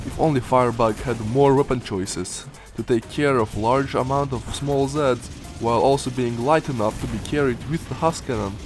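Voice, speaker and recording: A man speaks at a moderate pace with a medium pitch and fairly even intonation. Music sits in the background. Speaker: gaming video creator. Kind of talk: casual game weapon review narration.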